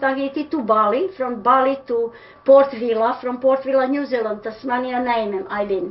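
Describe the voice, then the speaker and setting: In a Serbian accent, a woman speaks at a moderate pace with a high pitch and ordinary pitch variation. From Serbia (Pančevo). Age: old. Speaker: interviewee. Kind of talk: interview answer. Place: home room. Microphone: webcam.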